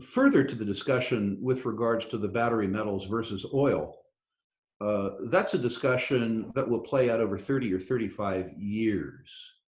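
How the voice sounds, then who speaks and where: A man speaks in an ordinary speaking voice at a medium pitch. His pace is moderate and his pitch varies in an ordinary way. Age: 60s. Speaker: investor in natural resources. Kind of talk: interview.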